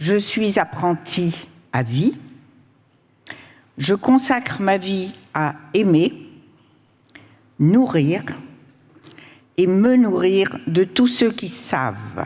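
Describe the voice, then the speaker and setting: A woman speaks at a very slow pace in a medium-pitched voice, her pitch swinging very widely, with long, frequent pauses. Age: 80s+. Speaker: author and cook. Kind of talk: conference talk.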